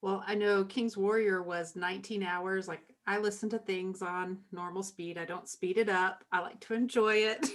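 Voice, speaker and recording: This woman has a normal speaking voice at a medium pitch. She keeps a moderate pace with hardly any pauses. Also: fairly even intonation. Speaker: podcast co-host interviewer. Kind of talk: casual interview chat.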